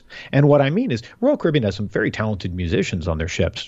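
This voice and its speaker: A fairly low-pitched, somewhat breathy male voice. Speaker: cruise website writer. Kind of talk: casual chat.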